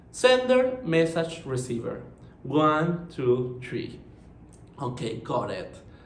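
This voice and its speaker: With audible room echo, a man speaks very slowly at a fairly high pitch, his voice making very wide pitch swings. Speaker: marketing professional. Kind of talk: conference presentation.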